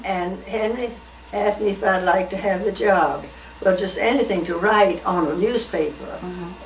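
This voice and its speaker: At a moderate pace, a woman speaks with a medium pitch and ordinary pitch variation. Noticeable background noise runs behind her. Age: 80s+. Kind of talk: interview answer. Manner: conversational, reminiscing.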